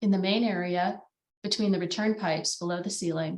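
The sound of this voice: The clip has an unforced reading voice against a quiet background.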